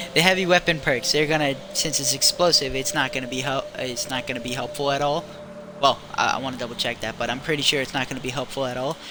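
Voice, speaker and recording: Over noticeable background noise, a man talks at a very fast pace. His pitch is fairly high and his intonation fairly even. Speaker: gaming streamer. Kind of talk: casual gameplay commentary. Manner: rambling, scatterbrained; halting, stuttering.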